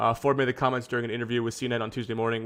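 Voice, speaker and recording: A man mumbles at a very fast pace. His pitch is medium. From Canada. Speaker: streamer. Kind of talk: reading news articles aloud with commentary on a live stream. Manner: mumbling.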